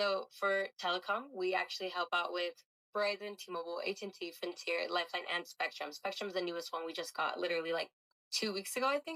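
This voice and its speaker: A woman speaks very fast at a medium pitch, her bright, sharp tone carrying ordinary pitch variation in a dry, close sound with no echo. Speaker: job recruiter. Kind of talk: job interview sales pitch.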